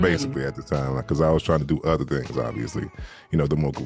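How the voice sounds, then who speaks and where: Music plays behind a man speaking at a very fast pace in a very deep, low voice. He has an American accent and fairly even intonation. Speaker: audiobook narrator and voice actor. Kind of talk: interview answer on a podcast. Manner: relaxed, conversational, chatty.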